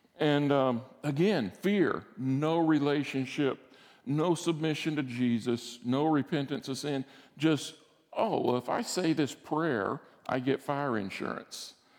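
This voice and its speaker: With a Southern US accent, a man talks at a fairly slow pace. His pitch is fairly high, with ordinary variation. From Alabama, US South. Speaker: guest preacher, former military flight instructor. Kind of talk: sermon. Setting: church service.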